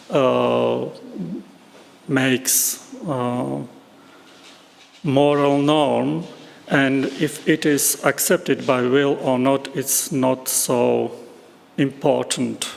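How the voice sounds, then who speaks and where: A man with a non-native accent, speaking at a very slow pace with long, frequent pauses. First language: not English. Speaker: philosophy speaker at academic conference. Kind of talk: conference Q&A discussion. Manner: halting, many hesitations.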